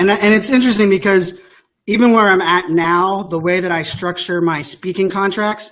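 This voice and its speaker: A man talks at a high pitch. His intonation stays fairly even. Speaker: tech speaker and influencer. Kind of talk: interview conversation. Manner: fast.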